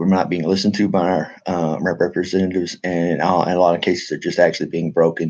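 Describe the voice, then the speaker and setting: In a monotone, flat intonation, a man with a very deep, low pitch speaks at a very fast pace with hardly any pauses. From Texas. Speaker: military veteran and political activist vlogger. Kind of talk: casual monologue to camera. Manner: halting, many fillers and restarts.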